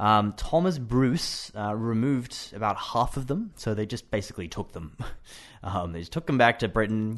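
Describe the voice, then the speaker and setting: With an Australian accent, a man speaks at medium pitch and a moderate pace, with ordinary pitch variation. The background is quiet. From Australia, Brisbane. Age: 20s. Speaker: English teacher. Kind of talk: casual chat. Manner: halting.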